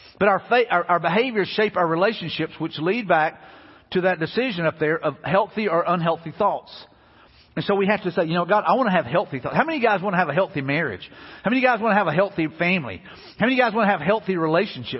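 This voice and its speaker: In a Southern US accent, a man talks very fast in a high voice, his tone animated and his intonation lively. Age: 50s. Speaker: pastor. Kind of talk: sermon. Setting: church.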